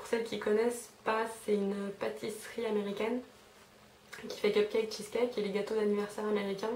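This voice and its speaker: A woman talks at a fairly quick pace in a fairly high pitch with monotone, flat intonation. Audible room echo and noticeable background noise surround her voice. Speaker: beauty vlogger. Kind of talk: casual haul video monologue. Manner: fast; hesitant, many fillers.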